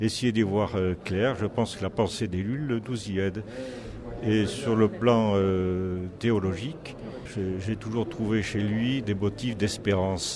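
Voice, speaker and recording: A man talks at a very slow pace with fairly low pitch and fairly even intonation. Noticeable background noise runs underneath. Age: 60s. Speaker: magistrate. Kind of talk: interview.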